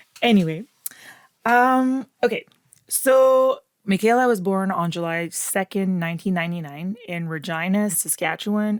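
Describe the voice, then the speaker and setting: In a very clean recording with a silent background, a woman with a Quebec accent speaks at a moderate pace, her medium pitch showing ordinary variation. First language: French. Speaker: true crime podcast host. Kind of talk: scripted narration; casual chat.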